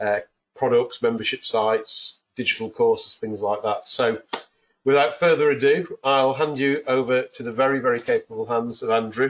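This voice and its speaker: At a moderate pace, a man talks in a northern English accent. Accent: English accent (north of England). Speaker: webinar host. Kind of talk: webinar introduction. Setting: home office, online webinar.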